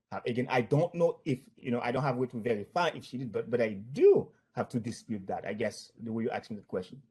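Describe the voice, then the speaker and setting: Speaking very fast with hardly any pauses, a man with a non-native accent has a dark, mellow tone and a somewhat breathy voice. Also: medium pitch for a man, ordinary pitch variation. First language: not English. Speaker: former bank employee, plaintiff in deposition. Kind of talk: legal deposition testimony. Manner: halting.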